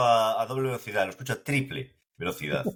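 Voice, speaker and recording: A man's medium-pitched voice with a Galician accent, a bright, sharp tone and ordinary pitch variation. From Galicia, Spain. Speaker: podcast host. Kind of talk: casual chat.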